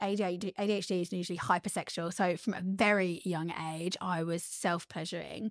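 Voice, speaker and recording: A woman has an ordinary speaking voice at a medium pitch, with fairly even intonation and a fairly quick pace. The recording is very clean, with a silent background. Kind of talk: casual chat.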